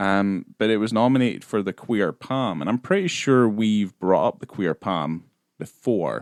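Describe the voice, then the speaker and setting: In a Scottish accent, a man speaks with a fairly low pitch. His pace is moderate, with ordinary pitch variation. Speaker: film podcast host. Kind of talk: casual chat.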